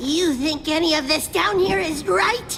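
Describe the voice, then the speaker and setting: A high-pitched, cartoonish character voice talks at a moderate pace. Clear background noise sits behind it. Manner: giggly, taunting.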